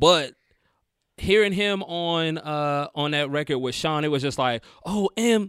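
Speaking with a Southern US accent, this man has a fairly high pitch. His pace is fairly slow. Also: ordinary pitch variation. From US South, North Carolina. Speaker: rapper. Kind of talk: casual chat. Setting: studio.

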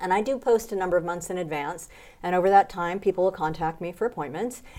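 In a very clean recording with a silent background, a woman with an unremarkable speaking voice and an American accent talks at a fairly low pitch. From United States. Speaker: professional body piercer and author. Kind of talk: interview. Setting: piercing industry conference in Germany.

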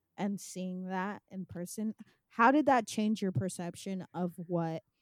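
Speaking a normal speaking voice at a fairly slow pace, a woman of medium pitch with an American accent is heard in a dry, close sound with no echo. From California. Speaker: podcast host and filmmaker. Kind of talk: casual interview.

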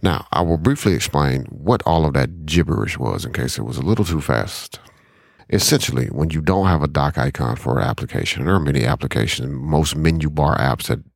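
The voice carries vocal fry and ordinary pitch variation at a fairly quick pace. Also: man. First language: not English. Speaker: software tutorial presenter. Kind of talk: tutorial. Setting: screen recording at home computer. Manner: fast.

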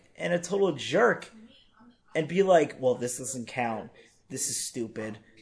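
A man speaks at a fairly slow pace against a quiet background. His pitch swings very widely. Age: 20s. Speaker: podcast host. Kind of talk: casual chat.

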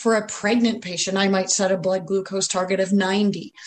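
There is a somewhat breathy quality to this woman's voice. Her pitch is medium. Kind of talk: educational slide presentation.

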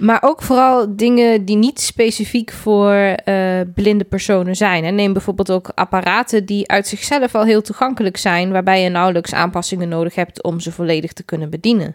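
In a plain, everyday voice at medium pitch, a woman speaks at a moderate pace with hardly any pauses, with a dry, close sound and no echo. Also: ordinary pitch variation. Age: 30s. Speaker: podcast host. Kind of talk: casual podcast intro.

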